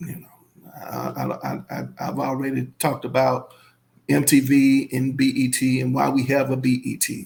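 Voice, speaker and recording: The speaker has a strong Southern US accent and keeps a moderate pace. Loudness swings widely throughout. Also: man. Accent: thick Southern US. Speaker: YouTuber. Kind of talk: casual commentary reading viewer comments.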